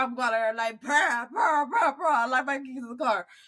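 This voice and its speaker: A woman's high-pitched, raised and projected voice with a bright, sharp, animated tone at a moderate pace. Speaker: podcast co-host. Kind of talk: casual chat.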